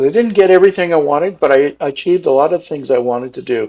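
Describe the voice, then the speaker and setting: A man at a fairly quick pace. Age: 60s. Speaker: mayor. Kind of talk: interview. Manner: halting, many fillers.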